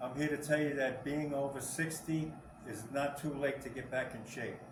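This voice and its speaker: A man speaks at a moderate pace in a fairly high pitch with flat, monotone intonation, with noticeable background noise and audible room echo. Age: 60s. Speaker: senior fitness trainer. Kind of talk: casual talk to camera. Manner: halting, repeats words.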